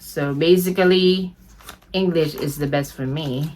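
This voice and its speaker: Speech with a Filipino accent over noticeable background noise. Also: woman. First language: Tagalog. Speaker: beauty vlogger. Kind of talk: product unboxing review. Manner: animated.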